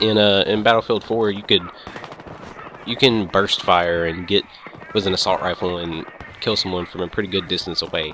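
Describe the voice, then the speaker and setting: A man speaks at a very deep, low pitch with fairly even intonation, leaving long, frequent pauses. Noticeable background noise runs underneath. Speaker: gaming youtuber. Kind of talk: gameplay commentary. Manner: casual, rambling with stumbles; fast.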